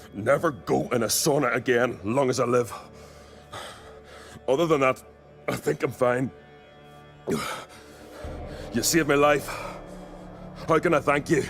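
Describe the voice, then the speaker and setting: A man does a gruff, put-on character voice at a medium pitch, with ordinary pitch variation and very even loudness. He goes at a fairly slow pace with long, frequent pauses, and clear music plays in the background. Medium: video game. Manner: gruff, colloquial.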